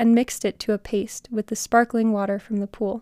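In a dramatic tone, a woman with a fairly high pitch and ordinary pitch variation speaks on a very clean recording with a silent background. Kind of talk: literary audiobook reading of a fantasy story, read aloud as scripted narration. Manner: lyrical, descriptive, slightly dramatic cadence.

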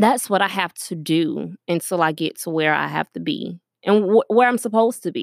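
In a very clean recording with a silent background and a dry, close sound with no echo, a woman of medium pitch talks at a moderate pace with vocal fry and lively intonation. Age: young. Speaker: podcast host. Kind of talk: casual monologue. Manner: hesitant, many fillers.

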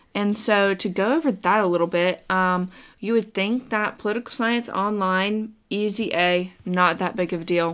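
A woman's plain, everyday voice with an American accent, medium in pitch and fairly even in intonation, at a moderate pace with hardly any pauses, on a very clean recording with a silent background. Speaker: podcast co-host, college student. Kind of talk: casual chat.

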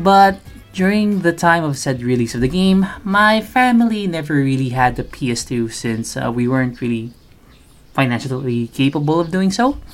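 A man with a Filipino accent and a fairly high pitch talks at a moderate pace, his pitch swinging very widely. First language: Tagalog. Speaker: podcast host. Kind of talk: casual podcast monologue. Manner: filler-heavy, informal.

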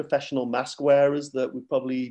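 A man with a Mancunian accent speaks at a fairly quick pace. His voice is fairly high in pitch, with a dark, mellow tone. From Manchester, England. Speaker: running club president. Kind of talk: casual interview chat.

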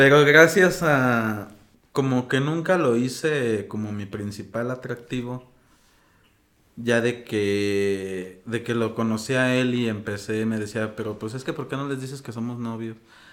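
A man's plain, everyday voice, medium in pitch with ordinary pitch variation, at a fairly slow pace. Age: 30s. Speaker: interview guest. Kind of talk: casual conversation.

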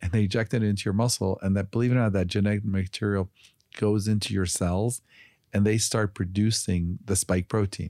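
In an American accent, a man speaks at a fairly quick pace with a fairly low pitch, a dark, mellow tone, monotone, flat intonation and very even loudness, on a very clean recording with a silent background. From Chicago, US Midwest. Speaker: physician and health company executive. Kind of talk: interview.

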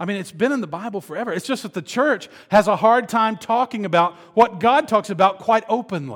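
A man speaks at a fairly quick pace in a high pitch, with hardly any pauses. His tone is animated with ordinary pitch variation, on a very clean recording with a silent background. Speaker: pastor. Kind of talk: sermon. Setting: stage with audience.

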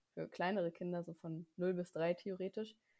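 On a very clean recording with a silent background, a woman speaks in a fairly low pitch with a dark, mellow tone. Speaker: podcast co-host, student. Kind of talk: casual chat.

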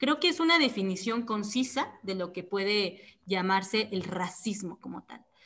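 In a normal speaking voice, a woman talks at a fairly slow pace with hardly any pauses and big swings in loudness. Her pitch is medium, with ordinary pitch variation. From Mexico, Oaxaca. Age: 20s. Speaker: activist. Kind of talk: interview.

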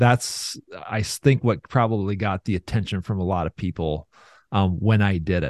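This man's pitch is fairly low, with ordinary variation at a moderate pace. The sound is dry and close, with no echo. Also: quiet background. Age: 40s. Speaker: financial firm business developer, former TV weatherman. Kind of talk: interview.

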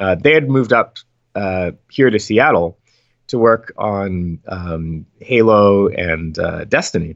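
A man with an American accent speaks very slowly in a fairly low voice with lively intonation. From US Northeast, West Philadelphia. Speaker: video game composer. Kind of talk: interview.

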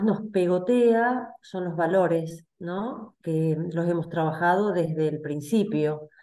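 Pitch varies in an ordinary way. The tone comes across dark and mellow. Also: woman. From Argentina, Salta. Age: 50s. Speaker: community member, compliance worker. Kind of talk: casual chat.

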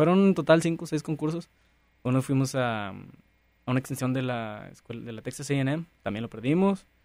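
A normal speaking voice from a man at medium pitch, moderate pace and ordinary pitch variation, with big swings in loudness. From rural Nuevo León, Mexico. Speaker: entrepreneur. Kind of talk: interview.

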